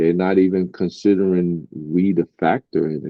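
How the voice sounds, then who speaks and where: A man in a Brooklyn accent, very deep and low in pitch, at a fairly slow pace with fairly even intonation. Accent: New York (Brooklyn). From Brooklyn, New York. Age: 50s. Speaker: rapper. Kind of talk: interview.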